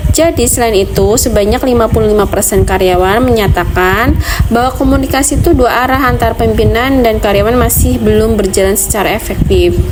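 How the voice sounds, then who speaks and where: A woman speaks with hardly any pauses and at very even loudness. Audible room echo and noticeable background noise are present. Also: fairly quick pace. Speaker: graduate student presenting research. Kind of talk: academic presentation. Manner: casual, chatty.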